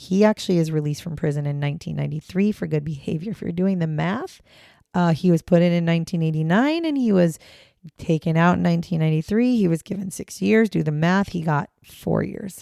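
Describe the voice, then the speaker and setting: A woman's fairly low-pitched voice with ordinary pitch variation, a dark, mellow tone and a fairly quick pace, in a dry, close sound with no echo. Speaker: true crime podcast host. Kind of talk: casual storytelling podcast. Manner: casual, conversational.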